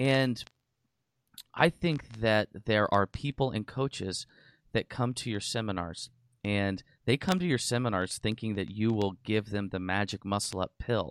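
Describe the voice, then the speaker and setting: With a normal speaking voice, a man talks at a fairly slow pace in a fairly low pitch with ordinary pitch variation, in a dry, close sound with no echo and a quiet background. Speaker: podcast host. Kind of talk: casual interview.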